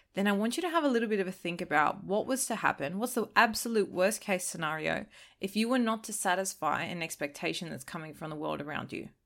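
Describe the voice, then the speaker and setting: At a very fast pace, a woman talks with lively intonation and vocal fry on a very clean recording with a silent background. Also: medium pitch for a woman, hardly any pauses. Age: 20s. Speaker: podcast host. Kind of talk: solo podcast monologue. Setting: recording while travelling abroad.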